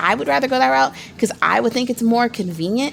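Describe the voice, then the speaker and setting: The speech runs at a very fast pace against noticeable background noise. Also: woman. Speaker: small business vlogger. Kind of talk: tutorial. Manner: casual, many fillers and restarts.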